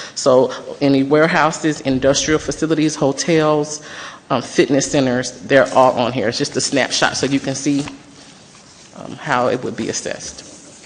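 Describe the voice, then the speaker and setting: A woman with a very deep, low pitch talks at a moderate pace with fairly even intonation. Audible room echo and noticeable background noise are present. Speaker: consultant presenter. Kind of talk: presentation. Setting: city council meeting.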